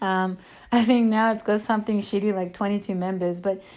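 A woman in an Australian accent speaks at a moderate pace with medium pitch and ordinary pitch variation. The recording is very clean, with a silent background. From Sydney, Australia. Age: 20s. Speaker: social media page admin and podcaster. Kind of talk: casual monologue. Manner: casual, rambling with many fillers.

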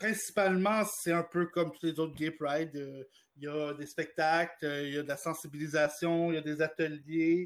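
The recording is very clean, with a silent background. It is a normal speaking voice at a moderate pace. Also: man, fairly high pitch for a man, fairly even intonation. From Quebec, Gatineau. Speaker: director of an LGBT advocacy organization. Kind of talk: radio interview.

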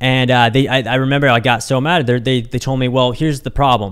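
A man with an American accent and a plain, everyday voice, medium in pitch, fairly quick, with fairly even intonation. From Kansas City area, US Midwest. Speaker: entrepreneur podcast host. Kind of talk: solo podcast monologue. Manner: casual, many filler words.

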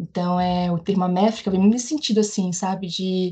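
Her voice has a dark, mellow tone and is somewhat breathy. This woman keeps her intonation fairly even. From Brazil, Bahia (Northeast). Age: 30s. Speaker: geographer and teacher. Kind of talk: interview.

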